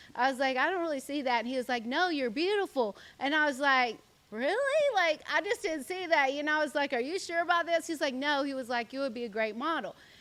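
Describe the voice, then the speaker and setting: Talking at a very fast pace with lively intonation, a woman with a high pitch and an American accent is heard over noticeable background noise. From US South (South Carolina). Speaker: social media influencer and model. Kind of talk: podcast interview. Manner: casual, many fillers (like, um).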